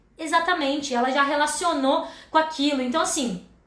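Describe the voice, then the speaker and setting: A woman uses a raised, projected voice with a bright, sharp tone and an animated manner. She talks at a fairly quick pace with ordinary pitch variation amid audible room echo. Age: 30s. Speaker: educator and live-stream host. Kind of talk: educational livestream talk.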